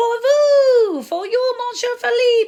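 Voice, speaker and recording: In a put-on character voice, a woman speaks very slowly with an extremely high, squeaky pitch. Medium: read story.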